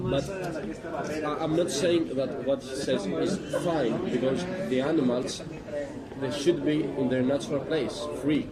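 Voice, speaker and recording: Speaking slowly with a Greek accent, a man with a fairly high pitch and ordinary pitch variation is heard in audible room echo with crowd noise in the background. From Greece. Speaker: passerby. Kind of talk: street debate. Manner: hesitant, halting.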